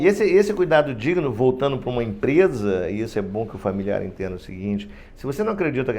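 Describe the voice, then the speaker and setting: Intonation is lively while the words come at a very fast pace. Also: man. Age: 60s. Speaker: union president, retired heart surgeon. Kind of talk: podcast interview. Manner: animated, halting with repetitions.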